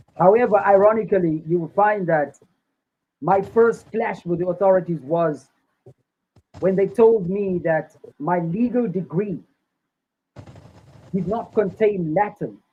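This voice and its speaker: A high-pitched man with ordinary pitch variation and long, frequent pauses, music in the background. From South Africa, Cape Town. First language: Afrikaans. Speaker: Rastafari activist and lawyer. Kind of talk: interview testimony.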